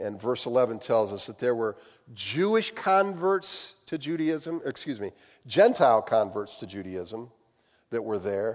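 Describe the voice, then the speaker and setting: On a very clean recording with a silent background, a man with a Midwestern American accent speaks at a fairly slow pace with very wide pitch swings. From US Midwest. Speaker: pastor. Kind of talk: sermon. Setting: church.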